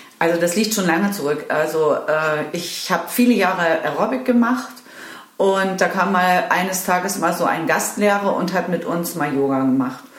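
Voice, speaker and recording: A woman with a fairly low pitch talks at a moderate pace, her pitch varying in an ordinary way. Audible room echo and noticeable background noise surround her voice. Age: 50s. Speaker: yoga teacher trainee. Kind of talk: interview. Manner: halting, many fillers.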